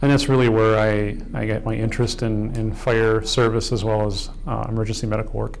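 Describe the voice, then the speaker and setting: A man with an American accent talks at a fairly quick pace. Audible room echo and noticeable background noise are present. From US Midwest, Kenosha, Wisconsin. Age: 50s. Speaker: fire chief. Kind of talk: documentary interview. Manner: halting, many fillers.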